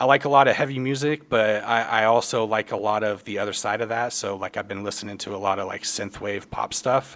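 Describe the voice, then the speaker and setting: With an American accent, a man talks at a medium pitch and fairly even intonation. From Kansas, US Midwest. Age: 30s. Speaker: podcast host. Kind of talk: casual chat. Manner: halting, many fillers.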